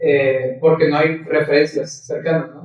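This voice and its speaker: This man has a plain, everyday voice with a fairly high pitch. He talks at a fairly slow pace. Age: 30s. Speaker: philosophy student. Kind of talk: audience question.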